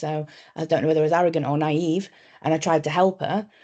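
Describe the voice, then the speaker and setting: A woman's very deep, low voice with a dark, mellow tone at a very fast pace over a quiet background. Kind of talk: panel discussion. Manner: direct.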